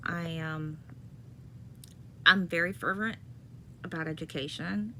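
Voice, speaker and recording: A woman speaks with a very deep, low pitch and vocal fry. Her tone is bright and sharp, and her pace is fairly slow. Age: 50s. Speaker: former college professor, chronic pain patient. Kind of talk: personal video monologue. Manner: halting, with many fillers.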